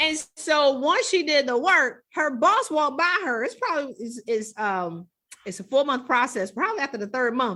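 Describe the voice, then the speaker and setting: A woman's animated, high voice, raised and projected, with very wide pitch swings at a moderate pace. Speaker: executive coach. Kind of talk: podcast interview. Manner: loud.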